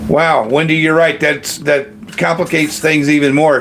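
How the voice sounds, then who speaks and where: Someone with an American accent talks at a moderate pace over noticeable background noise. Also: man. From Kentucky, US. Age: 60s. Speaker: retiree livestream host. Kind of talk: casual livestream chat reading comments. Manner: halting, many fillers.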